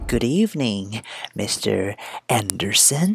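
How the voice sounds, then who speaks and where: A man speaks very slowly at medium pitch. His intonation is lively. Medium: audio drama. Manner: menacing, gloating.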